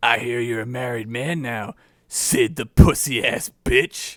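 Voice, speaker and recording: This is a put-on character voice, raspy and gravelly. It moves at a fairly slow pace. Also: man, medium pitch for a man. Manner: taunting.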